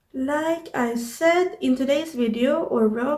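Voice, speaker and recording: A woman with a high pitch and a Swedish accent, ordinary pitch variation and a very slow pace. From Sweden. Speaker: YouTuber, artist and journaling creator. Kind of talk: casual vlog tutorial. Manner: halting with many fillers. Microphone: no external microphone, built-in audio.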